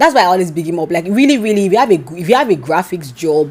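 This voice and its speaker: A woman speaks with an animated tone. Her pitch swings very widely. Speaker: YouTuber. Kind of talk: storytime.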